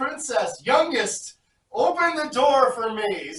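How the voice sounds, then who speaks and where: A fairly slow, high-pitched put-on character voice. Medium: read story. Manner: croaking, insistent.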